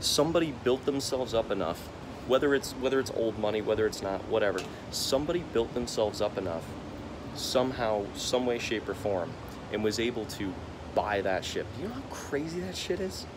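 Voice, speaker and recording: Over noticeable background noise, a man at medium pitch speaks fairly quickly with lively intonation and an animated tone. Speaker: vlogger. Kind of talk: casual vlog monologue. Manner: halting, stammering.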